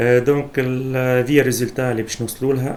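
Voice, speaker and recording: The speaker is a man with a Tunisian accent. He talks at a fairly slow pace. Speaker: programming instructor. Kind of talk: screen-recorded coding tutorial.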